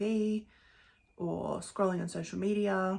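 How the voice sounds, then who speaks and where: At a very slow pace, a woman speaks at medium pitch in a somewhat breathy voice. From Western Australia (Perth). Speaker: wellness and self-healing content creator. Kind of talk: Q&A monologue answering viewer questions.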